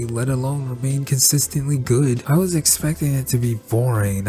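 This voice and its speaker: Noticeable background noise sits behind a man's voice. He talks at medium pitch with fairly even intonation. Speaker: cartoon reviewer. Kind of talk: video essay review narration.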